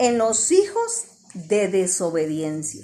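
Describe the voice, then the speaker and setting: A woman talks with very wide pitch swings. Noticeable background noise is present. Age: 60s. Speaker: church teacher. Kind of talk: religious teaching in group discussion.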